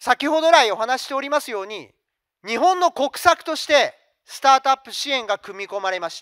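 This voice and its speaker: A man talks at an extremely high pitch in a bright, sharp tone, with lively intonation and big swings in loudness. His pace is fairly quick, and the background is quiet. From Japan, Fukuoka; Japan. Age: 50s. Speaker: company CEO; presenter. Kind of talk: investor presentation. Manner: formal. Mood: polite, formal business tone. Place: hall. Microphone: handheld.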